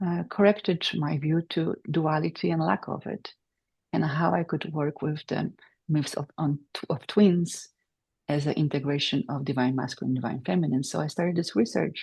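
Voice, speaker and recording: With a Polish accent, a woman speaks in a very deep, low pitch with vocal fry and ordinary pitch variation. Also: moderate pace. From Poland, Silesia. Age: 40s. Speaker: PhD candidate and meditation teacher. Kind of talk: academic presentation. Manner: halting, many fillers.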